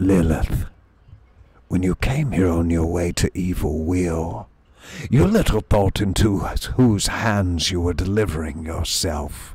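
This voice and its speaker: A man uses a put-on character voice, very deep and low, at a fairly slow pace. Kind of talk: formal, archaic. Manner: still, solemn.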